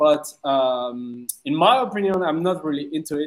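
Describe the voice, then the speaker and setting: A man speaks with a French accent. His pitch swings very widely. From France. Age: 30s. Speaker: DJ and music producer. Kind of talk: casual interview. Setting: video call. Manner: halting.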